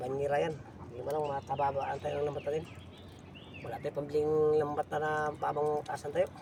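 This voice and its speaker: Amid noticeable background noise, the voice runs at a fairly quick pace with monotone, flat intonation and long, frequent pauses. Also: man, fairly high pitch for a man. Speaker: fishing vlogger. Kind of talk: casual vlog narration.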